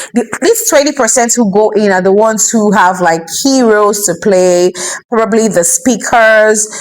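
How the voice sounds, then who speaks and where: A woman's fairly high voice with ordinary pitch variation, at a moderate pace. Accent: Nigerian. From Nigeria. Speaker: vlogger and entrepreneur. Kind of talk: personal vlog talk to camera. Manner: casual, chatty with filler words.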